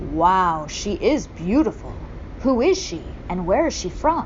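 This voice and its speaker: A woman's put-on character voice, medium in pitch, at a moderate pace, with clear background noise. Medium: read story. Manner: excited, exclaiming.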